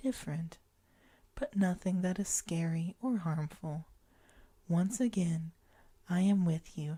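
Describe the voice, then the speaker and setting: A woman speaks at a fairly low pitch in a gentle, dark, mellow tone that is somewhat breathy. She keeps a fairly slow pace with long, frequent pauses, and her pitch varies in an ordinary way. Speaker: ASMR guided relaxation host. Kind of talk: guided imagery relaxation. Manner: slow, gentle, reassuring.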